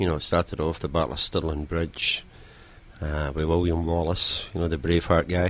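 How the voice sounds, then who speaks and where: Speaking fairly quickly in a monotone, flat delivery, a man with a Scottish accent has a very deep, low voice. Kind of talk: casual chat.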